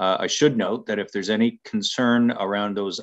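A man with an unremarkable speaking voice talks at a fairly low pitch with fairly even intonation against a quiet background. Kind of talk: formal meeting chairing. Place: home room. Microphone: video call.

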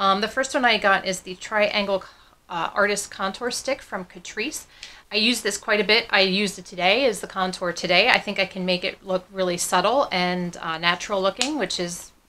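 A woman talks at a moderate pace in a bright, sharp tone with ordinary pitch variation. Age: 40s. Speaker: beauty YouTuber. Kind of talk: casual product review vlog. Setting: home office. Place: home room.

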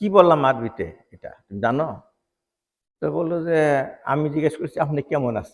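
Pitched fairly high, a man speaks with ordinary pitch variation and big swings in loudness. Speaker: retired doctor and chief guest. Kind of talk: public speech at religious gathering. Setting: outdoor madrasa grounds with audience. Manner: halting.

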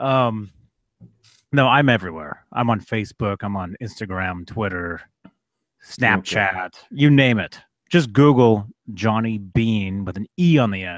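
A booming man's voice, fairly low-pitched, moves at a fairly slow pace with long, frequent pauses and ordinary pitch variation. The sound is dry with no echo, and the background is quiet. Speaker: guitarist and YouTuber. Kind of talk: casual chat. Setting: video call. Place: home room. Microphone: studio mic.

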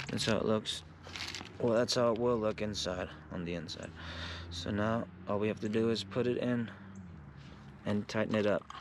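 A man's voice with fairly even intonation and long, frequent pauses, dry with no echo, over noticeable background noise. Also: fairly low pitch for a man, moderate pace. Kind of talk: tutorial. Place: street. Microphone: phone near.

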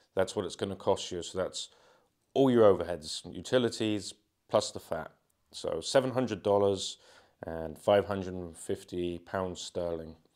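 A fairly slow voice with an English accent, ordinary pitch variation and big swings in loudness over a quiet background. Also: man, very deep, low pitch for a man. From England. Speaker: travel vlogger. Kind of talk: walking tour vlog. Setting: walking through building, partly outdoors. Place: home room.

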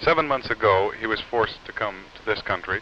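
A man amid noticeable background noise. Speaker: TV news reporter. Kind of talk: 1950s TV news report, formal broadcast delivery. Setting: TV news report, on location interviews. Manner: formal, measured, authoritative.

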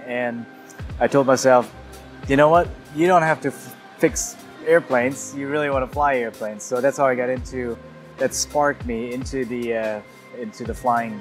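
Over clear background music, a man speaks at a moderate pace with ordinary pitch variation and long, frequent pauses. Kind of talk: interview answer. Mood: cheerful, enthusiastic. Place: garage. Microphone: lapel.

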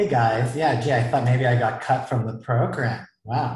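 A somewhat breathy man speaks at a fairly quick pace with fairly even intonation. There is audible room echo, but the background is quiet. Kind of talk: event introduction remarks. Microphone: earbuds.

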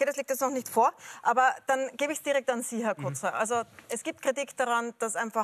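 A woman at a fairly quick pace. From Austria. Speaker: TV moderator. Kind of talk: TV discussion moderation. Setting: TV studio. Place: studio.

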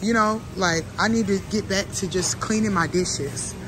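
Clear music plays in the background as a woman speaks at a moderate pace. Her voice sounds dry, with no echo. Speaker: vlogger. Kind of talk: casual vlog chat. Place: shop. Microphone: earbuds.

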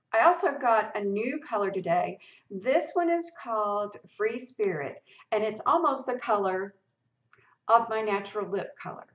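Over a quiet background with audible room echo, a woman speaks at a moderate pace with lively intonation. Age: 60s. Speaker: lifestyle blogger and video creator; lifestyle blogger, video creator. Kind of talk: tutorial. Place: home room. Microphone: webcam.

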